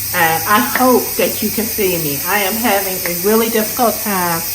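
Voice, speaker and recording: At a medium pitch and fairly slow pace, a woman speaks with ordinary pitch variation, amid noticeable background noise and audible room echo. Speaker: lifestyle vlogger. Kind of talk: casual vlog narration.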